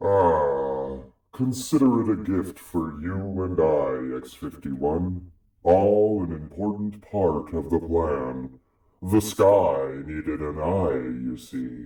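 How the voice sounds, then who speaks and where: A put-on character voice at a very slow pace, lively intonation and a slight echo. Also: man, very deep, low pitch for a man. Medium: audio drama. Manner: grave, measured, portentous.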